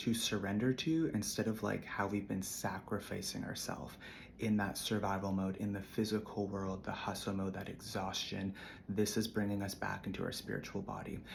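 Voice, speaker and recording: The man's pitch is fairly low and his intonation fairly even. He keeps a moderate pace, with audible room echo. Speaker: spiritual content creator. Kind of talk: casual spiritual monologue.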